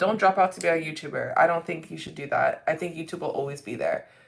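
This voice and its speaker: A woman is speaking. Noticeable background noise is audible. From Canada. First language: French. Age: 20s. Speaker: beauty livestreamer. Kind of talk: casual livestream chat. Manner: casual, repetitive.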